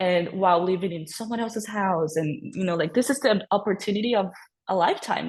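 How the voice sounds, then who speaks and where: Somewhat breathy, a woman speaks at a medium pitch and a fairly quick pace with ordinary pitch variation. The background is quiet. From Brazil. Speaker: podcast guest, former au pair. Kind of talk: personal testimony in casual interview.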